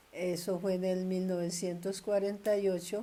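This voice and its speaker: Audible room echo surrounds a woman's fairly low, dark and mellow voice as she speaks very slowly with monotone, flat intonation. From Colombia, Tolima (Ambalema). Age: 80s+. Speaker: grandmother interviewee. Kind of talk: oral history interview.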